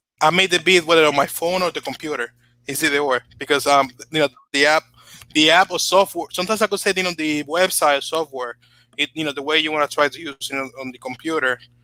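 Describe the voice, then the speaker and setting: In a very clean recording with a silent background, a man with a Spanish accent talks very fast at a fairly high pitch, his intonation fairly even, his tone bright and sharp, and the sound dry and close with no echo. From Dominican Republic. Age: 20s. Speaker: YouTuber and beat producer. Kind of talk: casual chat. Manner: halting, many fillers.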